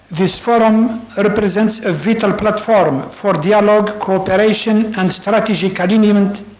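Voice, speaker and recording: Someone with an Arabic accent speaks at a fairly slow pace over noticeable background noise. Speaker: official of an intergovernmental organization. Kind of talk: formal conference speech. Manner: formal; hesitant.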